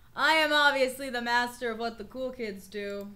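A woman speaks at a fairly slow pace in a raised, projected voice. Her tone is bright and sharp, with ordinary pitch variation. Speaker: streamer. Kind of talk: casual livestream chat. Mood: playful joking. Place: home room.

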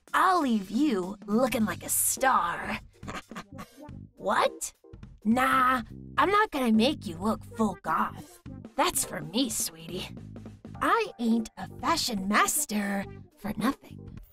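A put-on character voice speaks at a fairly high pitch and a very slow pace. Faint music plays in the background. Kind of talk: character demo reel. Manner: sassy, casual.

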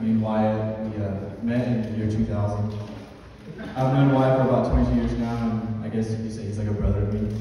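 Strong room echo and light background noise surround the speaker. He is a man with a fairly low pitch, talking at a fairly quick pace in a monotone, flat way. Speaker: best man. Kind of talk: wedding toast speech. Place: hall. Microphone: camera far.

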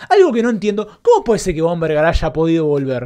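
Over a quiet background, a man speaks with very wide pitch swings. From Argentina. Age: 30s. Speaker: football fan commentator. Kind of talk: post-match reaction rant. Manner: impassioned, emphatic. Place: home room. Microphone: studio mic.

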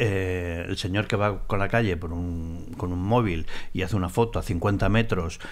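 Here is a man with an ordinary speaking voice. He keeps a moderate pace with ordinary pitch variation. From Spain. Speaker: former paparazzi, tea house owner; podcast guest. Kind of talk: casual interview. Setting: tea house. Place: studio. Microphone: studio mic.

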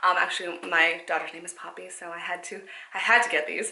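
A woman speaks at a fairly quick pace. Room echo is audible. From Canada. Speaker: fashion vlogger. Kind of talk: casual haul and try-on video. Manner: soft-spoken. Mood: upbeat, enthusiastic. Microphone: phone near.

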